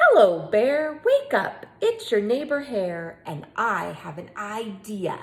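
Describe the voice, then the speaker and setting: A woman uses a put-on character voice. Her pitch is fairly high. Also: fairly slow pace. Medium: read story. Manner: smooth, persuasive.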